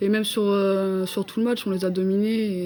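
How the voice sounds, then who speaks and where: In a dark, mellow tone, a woman speaks with monotone, flat intonation. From Brittany, France (Saint-Brieuc). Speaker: women's football player. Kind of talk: TV interview. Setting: TV studio.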